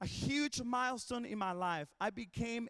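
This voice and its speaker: This is a man talking. His pace is moderate. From Mexico. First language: Spanish. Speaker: worship pastor. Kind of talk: commencement speech. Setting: graduation ceremony.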